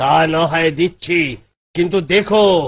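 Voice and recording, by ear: A man's cartoonish character voice, high in pitch.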